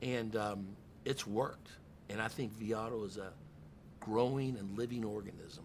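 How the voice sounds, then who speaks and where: A man talks at a moderate pace in a fairly low voice. He takes long, frequent pauses amid audible room echo. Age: 60s. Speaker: car dealership general manager. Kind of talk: podcast interview. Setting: in a car dealership. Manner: animated.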